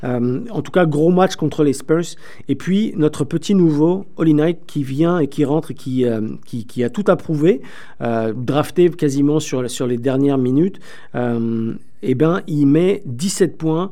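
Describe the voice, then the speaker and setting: A very slow voice with a dark, mellow tone and ordinary pitch variation. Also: man, fairly high pitch for a man. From France. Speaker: sports radio host. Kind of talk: radio sports talk show. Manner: animated.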